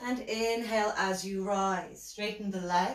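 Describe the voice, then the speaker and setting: The intonation stays fairly even. Audible room echo is present over a quiet background. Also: woman. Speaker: yoga instructor. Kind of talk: guided yoga class, giving calm spoken cues for poses. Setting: live online class from home. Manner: calm, soothing, instructional, steady pacing with gentle cues. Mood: calm, soothing guidance. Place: home room. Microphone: camera far.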